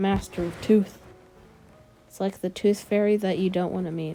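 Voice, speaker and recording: A woman's medium-pitched, flat, monotone delivery over background music. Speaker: fan video narrator. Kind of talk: casual storytelling. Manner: halting, stuttering.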